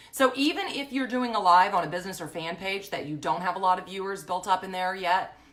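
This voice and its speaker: Over noticeable background noise, a woman talks at a very fast pace with lively intonation and hardly any pauses. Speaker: social media business coach. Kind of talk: facebook live tutorial. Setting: live stream from home. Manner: loud; casual, chatty.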